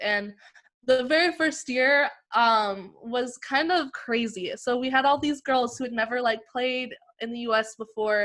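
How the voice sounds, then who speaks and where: A woman's high voice in a Western Canadian accent, fairly slow in pace, with ordinary pitch variation. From Canada, British Columbia (Lower Mainland). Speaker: basketball player. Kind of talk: interview.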